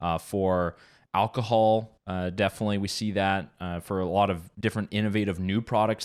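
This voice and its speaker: A man with a French-Canadian accent, fairly low-pitched, at a fairly quick pace with fairly even intonation, in a very clean recording with a silent background. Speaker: policy advocate. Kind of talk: radio interview.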